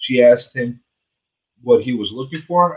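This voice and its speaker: A man's medium-pitched voice at a moderate pace, a normal speaking voice. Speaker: real estate agent and radio show host. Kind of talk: reading a news item aloud.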